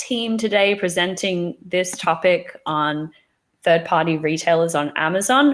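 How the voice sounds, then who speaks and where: Speaking at a very slow pace, a woman talks with an Australian accent. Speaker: company founder and webinar presenter. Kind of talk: webinar presentation. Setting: live online webinar. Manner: casual, many fillers and restarts.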